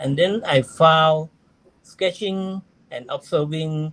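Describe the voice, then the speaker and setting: Someone with a Thai accent speaks at a very slow pace. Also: man. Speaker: amateur astronomer, astro-sketcher. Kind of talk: interview. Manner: halting, broken English.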